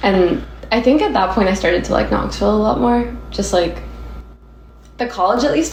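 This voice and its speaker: The woman's voice comes with audible room echo. She is talking. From Nashville, Tennessee. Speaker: graphic designer. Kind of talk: casual chat. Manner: casual, frequent fillers like 'like'.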